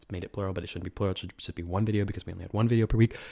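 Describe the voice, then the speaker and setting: Against a quiet background, a man speaks at a fairly low pitch. His voice is somewhat breathy. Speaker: ASMR creator. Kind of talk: casual talk to camera, ASMR. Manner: conversational, chatty. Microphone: studio mic.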